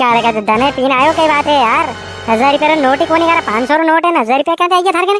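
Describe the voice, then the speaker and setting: A cartoonish character voice at a very fast pace, with faint music in the background. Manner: colloquial, exasperated.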